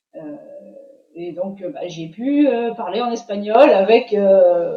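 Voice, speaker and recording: Her pitch fairly high, a woman speaks at a very slow pace with lively intonation. Her loudness swings widely. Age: 60s. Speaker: student giving a testimonial. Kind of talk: interview testimony. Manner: hesitant, many fillers.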